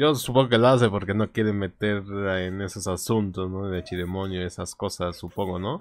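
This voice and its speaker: The man's fairly low voice shows ordinary pitch variation and a moderate pace. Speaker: streamer. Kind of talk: casual reaction commentary. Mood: amused, relaxed. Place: home room.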